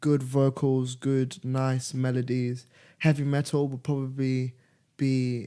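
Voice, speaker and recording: His tone is dark and mellow, his pitch medium for a man. He speaks at a very slow pace with monotone, flat intonation. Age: 20s. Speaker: musician. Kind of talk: casual interview.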